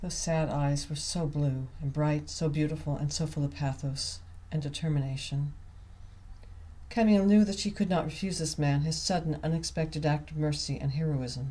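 A woman speaks at a moderate pace with a very deep, low pitch and ordinary pitch variation. Her tone is dark, mellow and somewhat breathy. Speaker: author reading own novel. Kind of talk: audiobook reading.

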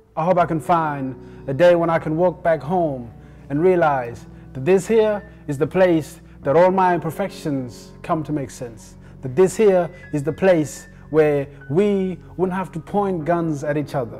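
Over faint background music, a man with a fairly high pitch and ordinary pitch variation talks at a fairly slow pace. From South Sudan. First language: not English. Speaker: spoken word poet. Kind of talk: spoken word poetry performance. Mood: emotional, reflective, yearning.

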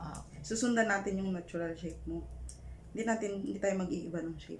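A woman talking at a very fast pace, with noticeable background noise and audible room echo. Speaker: microblading artist. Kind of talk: casual chat. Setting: hotel room.

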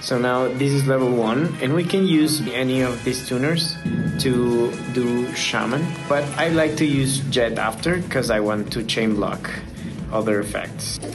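The speaker has a non-native accent and talks at a fairly slow pace. Clear music plays in the background. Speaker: card game player. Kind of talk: gameplay tutorial narration.

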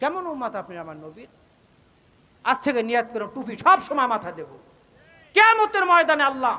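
A man with an extremely high pitch uses a raised, projected voice, his pitch swinging very widely and his loudness shifting by large amounts. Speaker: Islamic preacher. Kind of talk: sermon. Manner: animated.

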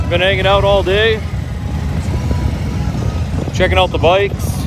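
A man speaks at a fairly slow pace. Music plays in the background. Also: dry sound with no echo. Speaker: rally visitor vlogger. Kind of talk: casual vlog chat. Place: street. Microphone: phone near.

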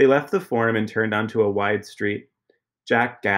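Reading aloud in a natural voice over a quiet background

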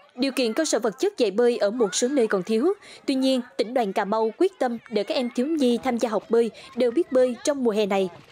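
A woman with a high voice talks at a fairly quick pace. Her loudness stays very even over noticeable background noise. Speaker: news narrator. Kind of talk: news reading.

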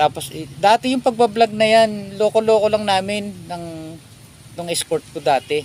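This man's voice is high, with ordinary pitch variation at a moderate pace. His loudness swings widely. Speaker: vlogger. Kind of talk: casual chat. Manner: halting.

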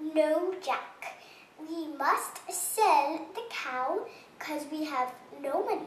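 A woman puts on a character voice with an extremely high pitch and ordinary pitch variation. She goes at a very slow pace, with a slight echo. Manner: firm, scolding.

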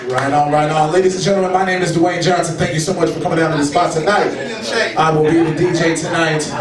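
Very fast speech from a man, over noticeable background noise. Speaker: amateur comedian. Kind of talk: stand-up comedy, improvised roast-style crowd work. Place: bar. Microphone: pa.

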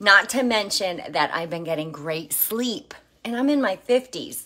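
Against a quiet background, a woman talks at a fairly slow pace. Her tone is bright and sharp. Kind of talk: casual vlog chat. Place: kitchen. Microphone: phone near.

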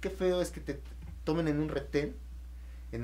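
Fairly quick speech with audible room echo. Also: man. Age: 20s. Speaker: lawyer, AA member. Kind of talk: casual talk show discussion. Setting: studio.

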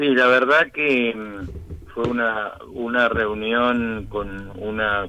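A man speaks at a very slow pace. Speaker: economist. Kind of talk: phone interview.

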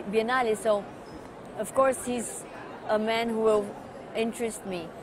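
In a Portuguese accent, a woman with a fairly high pitch speaks in a dry sound with no echo, crowd noise in the background. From Brazil, São Paulo. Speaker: art patron. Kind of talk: interview monologue. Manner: halting with fillers. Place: hall. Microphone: lapel.

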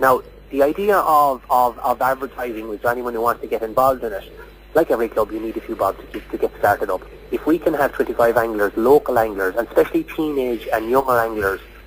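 A man at a very fast pace with light background noise. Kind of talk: interview answer.

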